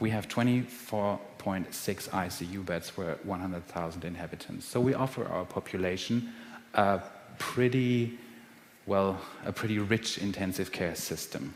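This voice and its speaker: A man with a German accent talks at a fairly low pitch. Audible room echo and noticeable background noise surround him. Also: ordinary pitch variation, moderate pace. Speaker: physician researcher. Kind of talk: lecture.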